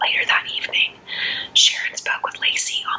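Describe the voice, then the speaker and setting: A woman whispering over noticeable background noise. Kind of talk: true crime case narration. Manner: soft-spoken.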